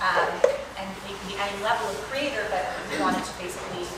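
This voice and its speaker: Loud background noise surrounds a woman's voice. Audible room echo is present too. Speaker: panelist. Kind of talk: panel discussion answer. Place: hall. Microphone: camera far.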